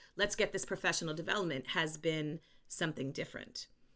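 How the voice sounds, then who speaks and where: A woman with a New York accent speaks at a very deep, low pitch. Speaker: educator and consultant. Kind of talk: interview conversation. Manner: animated; loud.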